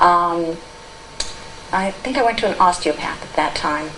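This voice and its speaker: A woman's fairly low voice with an American accent at a moderate pace, over noticeable background noise. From California. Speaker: spirit release therapist. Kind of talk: talk to an audience. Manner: unscripted, with fillers.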